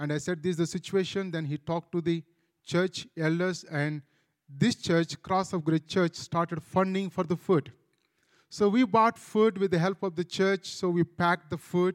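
Speaking with an Indian accent, a man with a high pitch holds a moderate pace and fairly even intonation, the sound dry and close with no echo. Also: very clean recording, silent background. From India, Andhra Pradesh. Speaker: pastor. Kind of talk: testimony.

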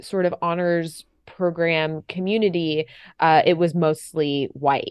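A very slow woman's voice, fairly low in pitch, with an American accent. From US South, Florida (Fort Lauderdale area). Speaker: actor and podcast host. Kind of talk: casual interview chat.

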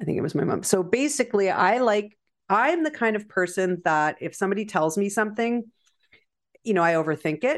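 With a Canadian accent, a woman talks at a fairly quick pace. Her medium-pitched voice has very wide pitch swings. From Canada. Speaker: feng shui teacher. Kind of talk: interview.

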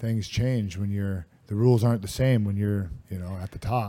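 A man's dark, mellow voice with fairly even intonation. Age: 30s. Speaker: professional MMA fighter. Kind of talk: casual interview chat.

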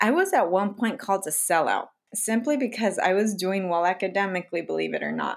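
Talking at a fairly quick pace with an American accent, a woman uses a medium pitch, ordinary pitch variation and vocal fry. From US, low-income diverse community. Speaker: doctor and podcast host. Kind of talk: casual chat.

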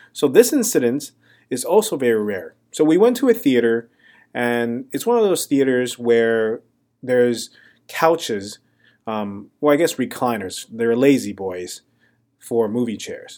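On a very clean recording with a silent background, a voice with a dark, mellow tone and ordinary pitch variation moves at a fairly slow pace. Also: man, medium pitch for a man. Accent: Mandarin. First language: Mandarin. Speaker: stand-up comedian and podcast host. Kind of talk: casual storytelling monologue. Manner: relaxed, with frequent ums and uhs.

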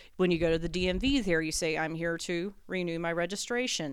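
Recorded very cleanly against a silent background, a woman with an unremarkable speaking voice and a fairly low pitch talks at a fairly quick pace. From US South, rural North Carolina. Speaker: comedian. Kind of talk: casual chat.

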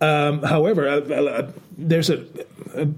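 Over noticeable background noise, a man talks at a moderate pace with a fairly high pitch. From Denmark. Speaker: podcast host. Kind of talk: casual chat. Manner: halting.

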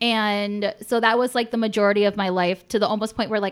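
A woman with a Michigan accent speaks at medium pitch and a moderate pace, her intonation fairly even, in a very clean recording with a silent background. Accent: Midwestern American (Michigan). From suburb of Detroit, Michigan. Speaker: comedian. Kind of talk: casual chat. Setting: home studio.

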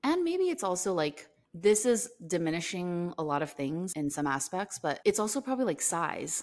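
With a plain, everyday voice, a woman speaks in an American accent with lively intonation. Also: fairly low pitch for a woman, moderate pace. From US, Korean American. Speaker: podcast co-host. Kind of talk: casual chat.

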